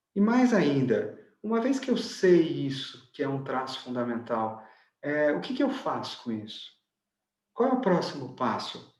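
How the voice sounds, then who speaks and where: Fairly slow, fairly high-pitched man's voice with a Brazilian accent, very wide pitch swings, audible room echo. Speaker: enneagram teacher and author. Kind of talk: online lecture.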